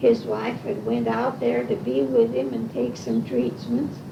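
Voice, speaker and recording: A woman with an American accent talks at a fairly slow pace, with audible room echo and noticeable background noise. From Washington, Illinois (US Midwest). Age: 80s+. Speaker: oral history interviewee. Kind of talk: oral history interview, casual chat.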